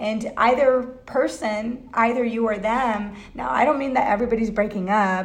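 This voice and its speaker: A woman's fairly high voice carries audible room echo. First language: not English. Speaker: tarot reader. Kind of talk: tarot reading livestream. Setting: Facebook live video. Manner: halting, many fillers.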